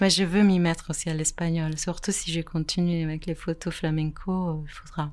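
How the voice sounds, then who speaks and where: A woman with an Italian accent talks at a moderate pace with hardly any pauses. Her pitch is fairly low and her intonation monotone and flat. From Italy. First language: Italian (speaking French). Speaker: photographer. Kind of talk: interview.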